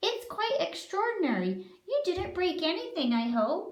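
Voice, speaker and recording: A woman's squeaky, put-on character voice at an extremely high pitch, with very wide pitch swings, a moderate pace, and audible echo. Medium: read story. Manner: sweet, polite.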